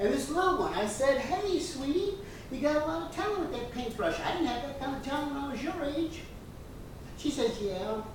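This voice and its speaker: Amid noticeable background noise and audible room echo, a woman speaks at a fairly quick pace in a high pitch with very wide pitch swings. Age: 60s. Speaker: stand-up comedian. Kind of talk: stand-up.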